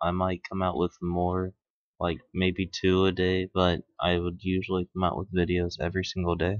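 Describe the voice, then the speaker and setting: A quiet man's voice, very deep and low in pitch, with monotone, flat intonation at a moderate pace. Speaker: gaming YouTuber. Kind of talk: let's play commentary. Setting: at home at night.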